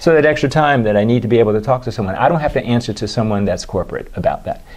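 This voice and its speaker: Noticeable background noise accompanies a man with an American accent who talks at a very fast pace, with medium pitch and ordinary pitch variation. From Washington D.C. area. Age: 60s. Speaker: dermatologist. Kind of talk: interview.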